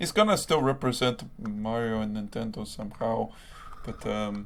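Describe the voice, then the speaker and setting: Using a plain, everyday voice, a man of medium pitch speaks at a fairly slow pace. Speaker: podcast co-host. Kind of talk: casual chat.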